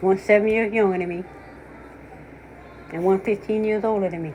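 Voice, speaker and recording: A woman speaks in a medium pitch. Her pace is moderate. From US South. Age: 60s. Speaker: commentator. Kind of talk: casual chat. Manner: animated.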